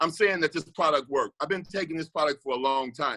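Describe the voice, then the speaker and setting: The tone is bright and sharp, with a dry, close sound and no echo. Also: man. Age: 60s. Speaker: network marketing distributor. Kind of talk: testimony. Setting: video call. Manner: animated.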